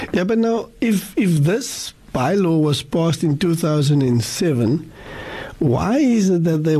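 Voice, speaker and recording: With noticeable background noise, a man talks at a very slow pace, his fairly high voice carrying lively intonation. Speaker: radio host. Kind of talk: radio interview. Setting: studio.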